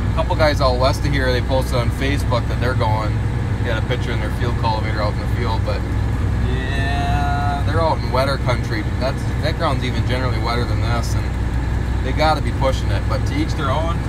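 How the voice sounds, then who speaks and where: The sound is dry with no echo. Loud background noise runs underneath. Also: fairly quick pace. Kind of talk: casual vlog chat. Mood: relaxed, content. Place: farm machine. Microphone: phone near.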